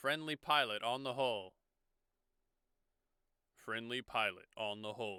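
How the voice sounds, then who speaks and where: Using a robotic, put-on character voice, a man talks at a moderate pace and medium pitch, with long, frequent pauses. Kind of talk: upper, even. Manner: friendly, cowboy-like.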